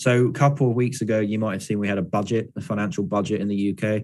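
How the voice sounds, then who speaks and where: With a southern English accent, a man speaks very fast at a fairly low pitch and ordinary pitch variation. The recording is very clean, with a silent background. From southeast England, London. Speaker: startup founder giving a lecture. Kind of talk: lecture Q&A.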